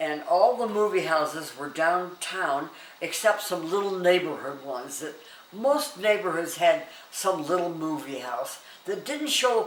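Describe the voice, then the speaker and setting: With audible room echo and noticeable background noise, a woman with a fairly low pitch speaks at a fairly slow pace, her pitch swinging very wide and her loudness shifting in big swings. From US West, Denver. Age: 90s. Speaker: elderly interviewee sharing memories. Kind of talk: casual oral history interview. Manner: halting with many fillers.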